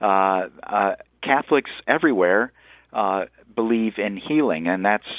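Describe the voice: A man at a fairly low pitch with ordinary pitch variation and a moderate pace, in a dry, close sound with no echo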